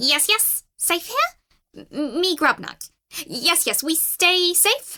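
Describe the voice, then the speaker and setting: Putting on a character voice, a woman speaks at an extremely high pitch. She goes at a very slow pace. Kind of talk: broken common speech. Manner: small, cautious.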